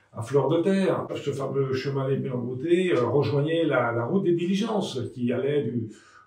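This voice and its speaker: Noticeable background noise and audible room echo surround the speaker. He is a man with a fairly high pitch and ordinary pitch variation. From France, Le Creusot (Burgundy). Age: 70s. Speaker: local resident and former elected official. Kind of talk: interview testimony. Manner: halting, many hesitations and repeated words.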